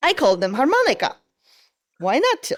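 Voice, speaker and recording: A woman speaks in a high pitch with a Polish accent. Her voice moves through very wide pitch swings. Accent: Polish accent, noticeable. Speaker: design manager. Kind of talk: podcast interview.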